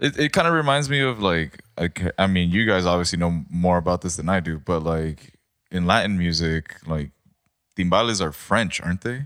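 Booming and very deep, a man's low voice carries lively intonation, the sound dry and close with no echo. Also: moderate pace. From Mexico, Baja California. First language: Spanish. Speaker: podcast guest. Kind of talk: casual chat.

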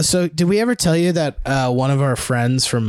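A man with an unremarkable speaking voice talks with ordinary pitch variation. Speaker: film expert. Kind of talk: casual chat.

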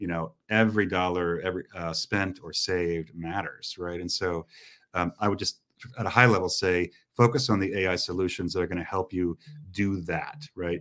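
In a US Midwestern accent, a man speaks with a very deep, low pitch and fairly even intonation at a moderate pace. The recording is very clean, with a silent background. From US Midwest, Indiana. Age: 40s. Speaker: retail technology entrepreneur. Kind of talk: interview conversation.

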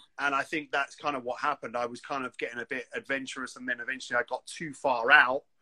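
A man with a London accent rattles along at a very fast pace with hardly any pauses, his medium pitch fairly even, the sound dry and close with no echo. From London, England. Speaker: graffiti artist. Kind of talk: casual chat. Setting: video call.

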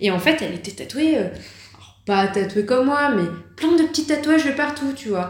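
A woman with a high voice swings her pitch very widely, speaking at a moderate pace with long, frequent pauses over noticeable background noise and audible room echo. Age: 30s. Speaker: tattoo artist. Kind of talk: interview. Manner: hesitant, many fillers.

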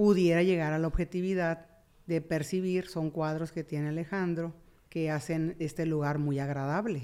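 A woman speaks in a normal speaking voice at a fairly low pitch. Her pace is moderate. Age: 50s. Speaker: therapist. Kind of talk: casual chat.

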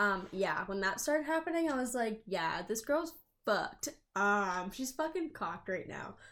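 A woman speaks with a fairly high pitch and very wide swings in it. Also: moderate pace, very clean recording, silent background. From southern New Hampshire. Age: 20s. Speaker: podcast co-host. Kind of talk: casual chat.

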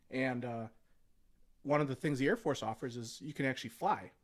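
A man's normal speaking voice at medium pitch, fairly quick pace and fairly even intonation, on a very clean recording with a silent background. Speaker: Air Force veteran. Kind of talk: casual chat. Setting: studio.

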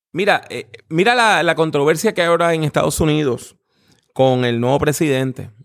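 At a moderate pace, a man with a fairly high pitch uses an ordinary speaking voice with lively intonation. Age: 50s. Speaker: preacher and theology professor. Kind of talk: interview.

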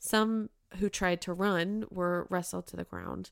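A woman with an American accent speaks in a normal speaking voice at medium pitch, her intonation fairly even. The recording is very clean, with a silent background. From Utah, Bountiful. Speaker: podcast co-host, social worker. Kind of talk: scripted narration.

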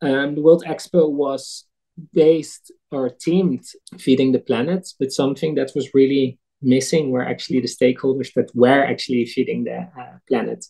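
Medium-pitched male voice with a Dutch accent, dark and mellow in tone, with fairly even intonation at a moderate pace. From eastern Netherlands. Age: 30s. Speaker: food nonprofit director. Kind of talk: interview. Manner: halting.

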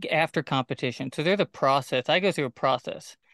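A man with a fairly high voice, an ordinary speaking voice, and ordinary pitch variation. The sound is dry and close with no echo, over a quiet background. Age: 20s. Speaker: podcast host and bull rider. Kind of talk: casual chat.

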